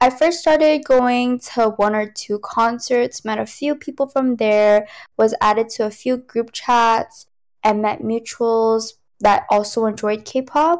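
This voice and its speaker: A woman's fairly high pitch, ordinary pitch variation and fairly slow pace on a very clean recording with a silent background. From New York. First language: Cantonese. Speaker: tech company worker and K-pop fan. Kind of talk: casual chat. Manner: laughs often.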